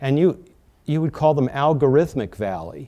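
A man talks with an American accent in a dark, mellow tone. The background is quiet. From US Midwest, North Dakota. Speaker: panel moderator. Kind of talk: moderated panel discussion. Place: meeting room. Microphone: lapel.

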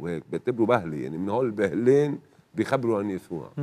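His intonation rises and falls in a lively way. This man's voice sits fairly low. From northern Lebanon. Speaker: TV guest. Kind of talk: testimony. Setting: studio. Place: studio. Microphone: lapel.

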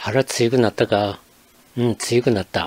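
A fairly slow pace with fairly even intonation. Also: man. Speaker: dialect explainer. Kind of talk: educational narration.

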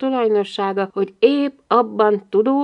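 This is plain reading aloud. It is plain reading aloud throughout.

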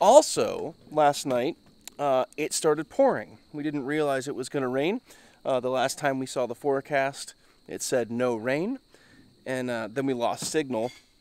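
A man speaks fairly slowly with ordinary pitch variation. The sound is dry, with no echo. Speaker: overland travel vlogger. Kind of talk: casual vlog chat. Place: forest. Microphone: phone near.

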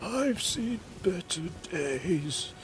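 The speaker uses a shaky, put-on character voice at a middle pitch. Background noise is clearly audible.

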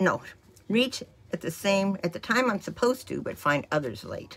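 A woman at a moderate pace, her pitch swinging very widely. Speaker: vlogger. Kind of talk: casual vlog chat. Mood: light, amused. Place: home room. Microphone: phone near.

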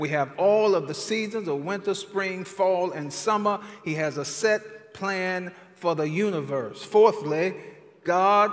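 Fairly slowly, a man talks in a high pitch. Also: ordinary pitch variation. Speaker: preacher at a conference. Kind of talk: sermon. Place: stage. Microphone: headset.

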